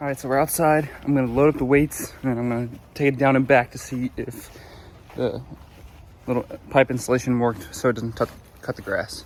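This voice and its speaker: A man speaks at a fairly quick pace with fairly even intonation, broken by long, frequent pauses. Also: medium pitch for a man. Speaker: DIY video maker. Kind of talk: casual vlog tutorial. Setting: outdoors, hot day. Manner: casual, filler-heavy.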